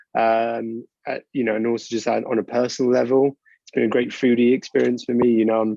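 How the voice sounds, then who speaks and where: A man with a British accent speaks at a fairly quick pace and medium pitch, his dark, mellow tone captured with a dry, close sound, no echo and a quiet background. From United Kingdom. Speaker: corporate lawyer. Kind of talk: interview. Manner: conversational.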